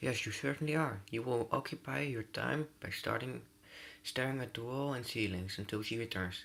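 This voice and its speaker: A moderate pace paired with lively intonation. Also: man, medium pitch for a man. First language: not English. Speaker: gaming youtuber. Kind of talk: let's play reading game text aloud. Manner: halting, frequent stumbles and self-corrections.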